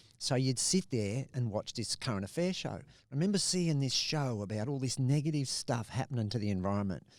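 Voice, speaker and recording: A man with an Australian accent speaks at a medium pitch and a fairly quick pace. His intonation is lively. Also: very clean recording, silent background. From Australia, Adelaide and Bundaberg. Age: 60s. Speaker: conservationist and pilot. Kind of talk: podcast interview.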